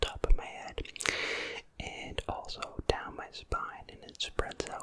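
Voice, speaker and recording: A man whispering in a calm tone at a very slow pace, with big swings in loudness and noticeable background noise. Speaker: ASMR creator. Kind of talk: ASMR whisper ramble. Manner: whispered; soft-spoken, calm.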